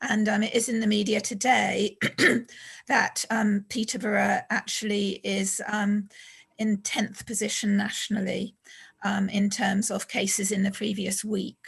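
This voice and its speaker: Somewhat breathy, a woman speaks at medium pitch and a fairly slow pace with monotone, flat intonation. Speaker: public health official. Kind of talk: public meeting briefing. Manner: hesitant, many fillers.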